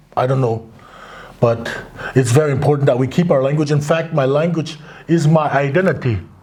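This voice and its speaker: A man talks at a fairly quick pace in a fairly high pitch, with ordinary pitch variation. Room echo is audible, and background noise is noticeable. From Crow Indian Reservation, Montana, US. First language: Crow. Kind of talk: interview.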